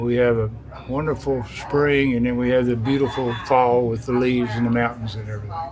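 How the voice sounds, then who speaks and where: Over noticeable background noise and audible room echo, a man with an American accent talks at a fairly quick pace in a medium-pitched, monotone, flat voice. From US South, East Tennessee (Johnson City). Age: 80s+. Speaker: business owner. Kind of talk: interview. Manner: halting, repeats words.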